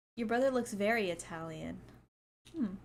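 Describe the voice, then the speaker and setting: A woman with a medium pitch talks at a very fast pace with ordinary pitch variation. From US, California. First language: Spanish. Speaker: streamer reacting to movies. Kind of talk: casual live stream chat, reading comments. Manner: animated.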